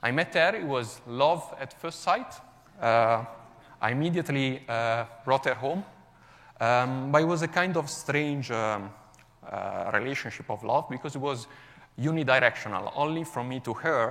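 A man's fairly high voice with ordinary pitch variation, at a moderate pace. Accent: Italian. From Italy, Milan. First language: Italian. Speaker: software developer. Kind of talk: conference talk.

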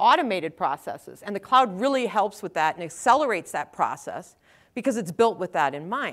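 A woman's medium-pitched voice with a Wisconsin accent, on a very clean recording with a silent background. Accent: Wisconsin Upper Midwest. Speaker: technical evangelist. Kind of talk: conference talk. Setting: stage with audience.

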